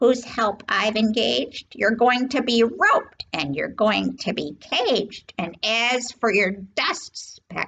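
Putting on a character voice, a woman speaks slowly at a fairly high pitch, with few pauses and lively intonation. Her fairly bright tone carries vocal fry and a slightly husky edge.

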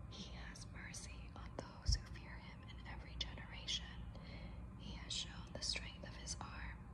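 Over noticeable background noise, a woman speaks fairly slowly in a soothing tone with a very deep, low pitch. Her intonation is monotone and flat, though her loudness swings a lot. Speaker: counselor and coach, ASMR creator. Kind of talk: ASMR prayer reading. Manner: soothing, calming.

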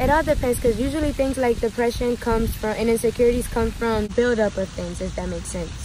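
There is noticeable background noise as a woman talks fairly quickly in a high voice, the sound dry with no echo. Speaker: vlogger giving advice. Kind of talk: casual vlog chat answering questions. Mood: relaxed, friendly, sometimes laughing. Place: garden. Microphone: phone near.

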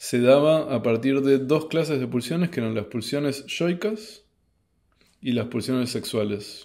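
The voice has a dark, mellow tone and ordinary pitch variation. It moves at a fairly slow pace over a quiet background. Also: man. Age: 30s. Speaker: YouTube host commenting on philosophy books; philosophy commentator. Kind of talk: book review monologue. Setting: at home in his apartment at night. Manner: hesitant, many filler sounds. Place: home room.

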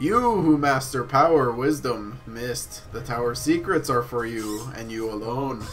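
A man speaks in a put-on character voice at medium pitch, with ordinary pitch variation. His moderate pace has hardly any pauses, and clear music plays in the background. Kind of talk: archaic, theatrical. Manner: grand, dramatic, declaiming.

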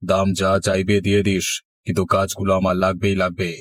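A cartoonish character voice from a man, very deep and low, monotone and flat at a moderate pace, with very even loudness on a very clean recording over a silent background. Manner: domineering.

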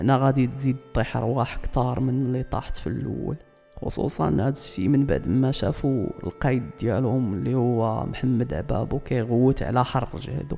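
A man with a Moroccan accent at a medium pitch and ordinary pitch variation, moderate pace, hardly any pauses, and music in the background. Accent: Moroccan Darija. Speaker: storyteller. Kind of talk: true-crime / history storytelling.

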